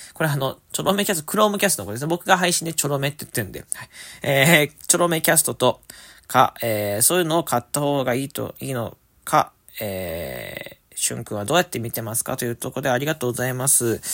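On a very clean recording with a silent background, a man with a fairly high pitch talks at a very fast pace, with lively intonation, big swings in loudness and vocal fry. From Japan, Fukuoka. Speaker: podcast host. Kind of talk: casual solo talk reading listener mail. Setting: alone in a room at family home. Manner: upbeat.

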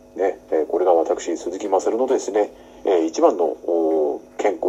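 Rather slowly, a man talks while obvious noise fills the background. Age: 40s. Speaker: actor hosting a solo talk podcast. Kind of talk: casual solo talk. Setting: home room used as makeshift studio. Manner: many fillers and hesitations; polite, slightly formal phrasing.

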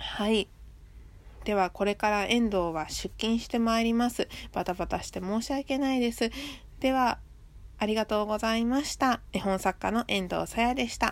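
In a very clean recording with a silent background, a woman with a fairly high pitch speaks at a moderate pace with ordinary pitch variation. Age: 20s. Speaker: picture book author. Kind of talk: casual solo talk. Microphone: handheld close to mouth.

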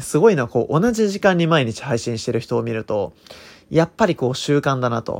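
At a moderate pace, a man's pitch swings very widely. The background is silent and the recording very clean. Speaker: consultant and podcaster. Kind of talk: unscripted solo monologue. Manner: frequent filler words.

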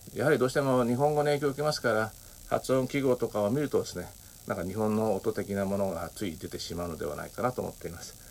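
A man at a medium pitch speaks very fast, his intonation lively. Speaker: podcaster. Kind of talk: solo monologue. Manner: many filler words.

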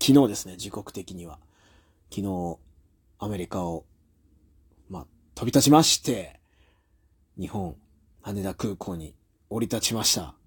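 Somewhat breathy speech with lively intonation and big swings in loudness moves at a fairly slow pace with long, frequent pauses, in a very clean recording with a silent background. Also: man, fairly low pitch for a man. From Japan. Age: 30s. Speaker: professional wrestler and podcast host. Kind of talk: casual solo monologue.

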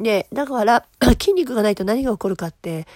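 This woman's voice is fairly high-pitched with a dark, mellow tone. She talks at a moderate pace. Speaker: solo podcaster, fitness and protein product maker. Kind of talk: casual solo talk. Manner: casual, chatty, explaining.

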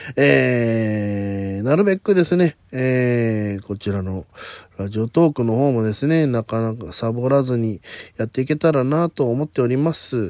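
At a fairly slow pace, a man with a medium pitch speaks with lively intonation in a dry, close sound with no echo. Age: 40s. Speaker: comedian and solo podcast host. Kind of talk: casual solo talk.

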